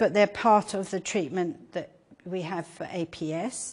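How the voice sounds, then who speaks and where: Speaking with an English accent, a woman talks at a fairly slow pace in a fairly low pitch, with ordinary pitch variation. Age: 70s. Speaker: patient advocate. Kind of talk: lecture. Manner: animated.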